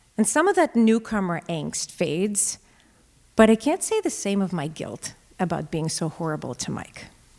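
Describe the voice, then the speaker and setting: A woman with a Russian accent speaks at a moderate pace in a medium pitch. Her pitch swings very widely. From Russia, moved to US at 10. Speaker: storyteller. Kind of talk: live storytelling. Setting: stage with audience.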